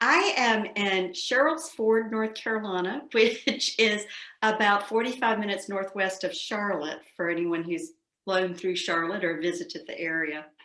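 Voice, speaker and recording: A woman with a Southern US accent speaks at a moderate pace in a medium pitch, her intonation lively, with audible room echo around her. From US South. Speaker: psychoanalyst. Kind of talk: interview.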